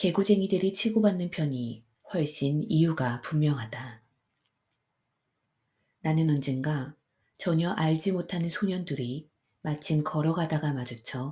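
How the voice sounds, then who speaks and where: A woman's very deep, low voice, calm, dark and mellow, somewhat breathy, with ordinary pitch variation, a very slow pace and long, frequent pauses. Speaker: audiobook narrator. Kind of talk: sleep story. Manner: soft-spoken, calm.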